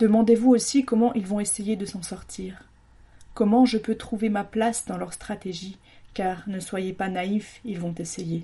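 A woman's somewhat breathy, dark and mellow voice at medium pitch, with fairly even intonation and a fairly slow pace. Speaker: radio columnist. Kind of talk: scripted monologue in the voice of the virus, delivered as an angry rant. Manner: angry, accusatory, indignant, biting sarcasm; forceful, declamatory, hammering rhetorical questions.

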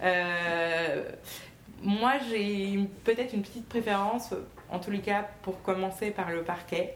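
The speech moves at a very slow pace with long, frequent pauses and fairly even intonation. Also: woman, medium pitch for a woman. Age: 20s. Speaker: magistrate. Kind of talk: talk to a school class. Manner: hesitant.

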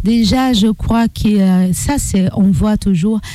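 A woman with a Portuguese accent, speaking at a very slow pace with ordinary pitch variation. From Brazil. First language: Portuguese (speaking French). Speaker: activist. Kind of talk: interview.

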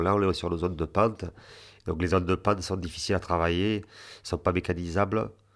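A man speaks at a moderate pace with a very deep, low pitch and fairly even intonation. The recording is very clean with a silent background. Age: 40s. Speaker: farmer. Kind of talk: photo description interview. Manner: halting.

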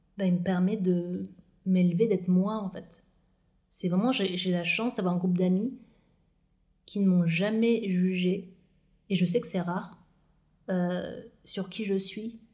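A woman with a medium pitch and dark, mellow tone speaks at a very slow pace, somewhat breathy. Her intonation is fairly even, with long, frequent pauses. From France, Moselle (Lorraine, north-east). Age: 30s. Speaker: podcast guest sharing personal story. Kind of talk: personal interview conversation.

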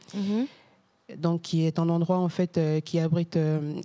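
Flat and monotone, a woman's fairly low voice with a dark, mellow tone moves at a very slow pace. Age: 30s. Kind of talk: casual interview. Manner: halting.

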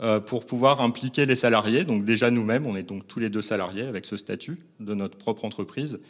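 On a very clean recording with a silent background, a man uses a normal speaking voice at medium pitch, with ordinary pitch variation and a fairly quick pace. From northern France, Lille. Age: 40s. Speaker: baker. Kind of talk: interview. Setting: on location at a shop.

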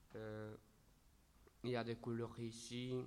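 A man's voice is dark and mellow in tone, with monotone, flat intonation. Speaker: civic service volunteer. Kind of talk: radio interview answer. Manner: halting.

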